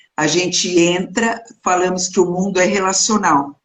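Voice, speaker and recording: Speaking very slowly, a woman keeps her pitch fairly low. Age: 60s. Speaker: clinical psychologist. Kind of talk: interview.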